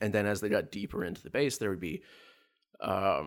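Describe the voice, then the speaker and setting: A man with a fairly low pitch and vocal fry talks at a fairly quick pace, his pitch swinging very widely, on a very clean recording with a silent background. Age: 40s. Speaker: tabletop game master. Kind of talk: casual interview. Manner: halting, many filler words.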